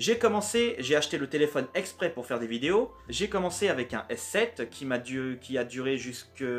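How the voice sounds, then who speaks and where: Noticeable background noise runs under a voice that keeps a moderate pace and swings very widely in pitch. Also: man. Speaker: YouTuber. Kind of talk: vlog talk to camera. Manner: halting, many hesitations.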